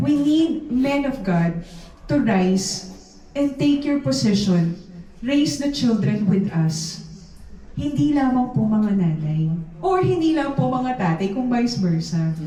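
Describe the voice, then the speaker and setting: The delivery is very slow, with very wide pitch swings and very even loudness. Noticeable background noise and audible room echo are present. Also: woman, medium pitch for a woman. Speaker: preacher. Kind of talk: sermon. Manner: animated. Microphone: speaking without a microphone.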